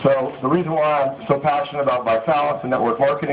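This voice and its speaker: There is noticeable background noise as a man talks at a very fast pace with an American accent. His pitch is fairly high, with ordinary pitch variation. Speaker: company CEO and author. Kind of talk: motivational speech at book signing. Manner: halting, many fillers.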